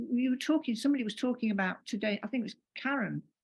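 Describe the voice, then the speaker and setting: A woman speaks very fast in a high voice with ordinary pitch variation. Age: 70s. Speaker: panelist. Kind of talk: casual chat.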